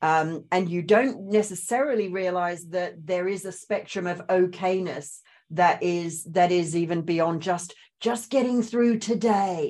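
A woman with a slight Australian accent at a fairly slow pace. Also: medium pitch for a woman, ordinary pitch variation. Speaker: spiritual coach and trauma recovery trainer. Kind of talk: interview, personal story.

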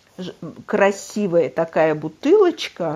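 A woman is speaking. She talks at a medium pitch. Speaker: host's mother. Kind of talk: casual chat. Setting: remote recording.

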